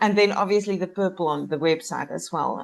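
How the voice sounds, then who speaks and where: A woman with a South African accent talks at a fairly quick pace with ordinary pitch variation over a quiet background. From South Africa, Cape Town. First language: Afrikaans. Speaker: life coach. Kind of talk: podcast interview.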